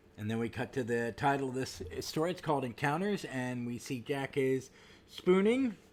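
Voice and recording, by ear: The speaker is reading aloud in a natural voice, and the intonation is lively.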